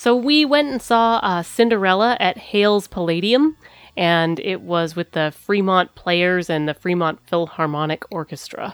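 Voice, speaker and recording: An unremarkable speaking voice with lively intonation moves at a moderate pace, recorded dry and close with no echo, very clean against a silent background. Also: woman, medium pitch for a woman. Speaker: podcast host. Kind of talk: casual chat. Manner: loud.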